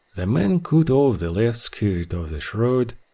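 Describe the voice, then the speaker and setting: A man's dark, mellow voice with a Russian accent and ordinary pitch variation. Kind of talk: folk tale audiobook reading.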